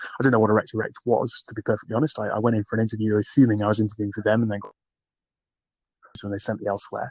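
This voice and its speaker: Very fast and flat in intonation, a man talks in a Geordie accent, the sound dry and close with no echo. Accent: soft Geordie. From northern England, Newcastle. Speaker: recruiter and podcaster. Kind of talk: interview conversation. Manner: hesitant, many fillers.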